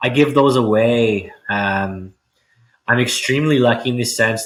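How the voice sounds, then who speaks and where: Loud and bright, with a sharp tone, a man speaks in a Canadian accent. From Ontario, Canada (Richmond Hill). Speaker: real estate agent. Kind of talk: podcast interview.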